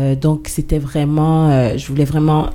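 Noticeable background noise sits behind a woman. Her pitch is very deep and low, and her intonation is monotone and flat. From Guadeloupe. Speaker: singer-songwriter. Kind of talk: radio interview. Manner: hesitant, many fillers.

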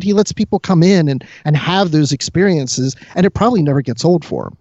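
This man's voice is high in pitch, with lively intonation and a fairly quick pace. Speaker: podcast co-host and producer. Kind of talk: casual chat.

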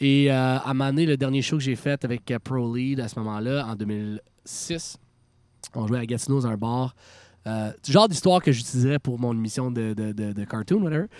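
In a very clean recording with a silent background, a man uses a normal speaking voice at medium pitch, a moderate pace and ordinary pitch variation. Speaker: rock band frontman. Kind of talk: casual chat. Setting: outdoors.

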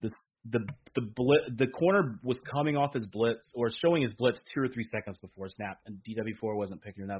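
A man talks at a fairly quick pace and medium pitch, with ordinary pitch variation. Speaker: sports podcast host. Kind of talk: casual chat. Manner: loud; animated.

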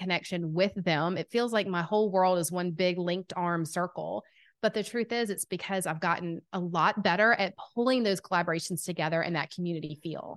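A woman in a strong Southern US accent, medium pitch with ordinary pitch variation, fairly quick, over a quiet background. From US South, Atlanta, Georgia. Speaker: podcast host and business coach. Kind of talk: casual interview chat. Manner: animated.

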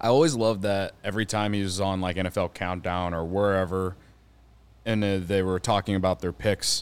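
A man with an American accent speaks at a moderate pace in a plain, everyday voice, fairly low in pitch and fairly even in intonation. The recording is very clean, with a silent background. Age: 30s. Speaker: baseball podcaster. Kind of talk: casual chat.

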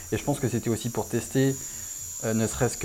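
Fairly quick and fairly even in intonation, a man speaks at medium pitch. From Réunion. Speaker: tattoo artist. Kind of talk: interview. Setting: tattoo shop. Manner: halting.

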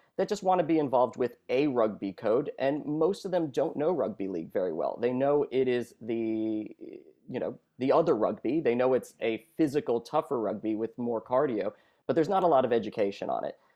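An unremarkable speaking voice with an American accent moves at a fairly quick pace. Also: man, medium pitch for a man. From US Northeast, New York City. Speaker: researcher and rugby league commentator. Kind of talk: radio interview. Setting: phone call.

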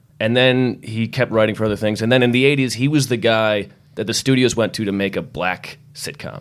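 A man with an ordinary speaking voice talks at a fairly quick pace with a medium pitch. His intonation is fairly even, and there are hardly any pauses. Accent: American. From Massachusetts. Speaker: podcast guest. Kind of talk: casual chat.

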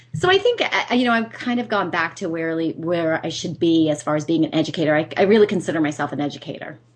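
A woman talks at a very fast pace with a fairly low pitch. Her pitch varies in an ordinary way over noticeable background noise. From US Northeast. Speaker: business coach and speaker. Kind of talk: radio interview.

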